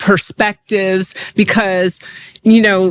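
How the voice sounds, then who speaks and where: Her voice sits at a medium pitch. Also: dry, close sound with no echo. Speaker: podcast co-host. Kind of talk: casual podcast chat. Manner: loud.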